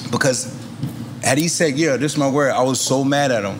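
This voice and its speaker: Over noticeable background noise and audible room echo, a man with a New York accent talks at a very fast pace. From Queens, New York. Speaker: rapper. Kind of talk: casual chat.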